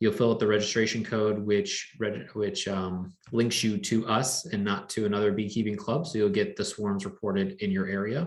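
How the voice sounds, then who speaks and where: A man's fairly low-pitched voice at a moderate pace, a normal speaking voice with ordinary pitch variation. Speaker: beekeeping club organizer. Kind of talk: club meeting announcements.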